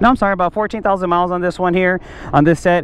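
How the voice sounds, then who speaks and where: The man's voice is high for a man, with ordinary pitch variation and a very fast pace. The sound is dry with no echo. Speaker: motorcycle rider reviewing parts. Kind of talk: casual product review. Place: street. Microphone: helmet.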